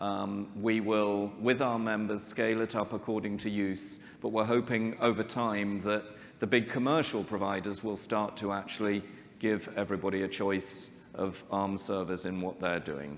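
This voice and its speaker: Audible room echo surrounds a man who talks at a moderate pace with a fairly low pitch. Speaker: tech company CEO giving keynote. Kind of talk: conference keynote.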